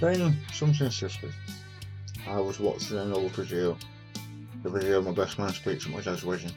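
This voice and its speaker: Music plays in the background as a man speaks at a moderate pace with ordinary pitch variation and long, frequent pauses. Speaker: cancer survivor. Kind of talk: personal talk to camera.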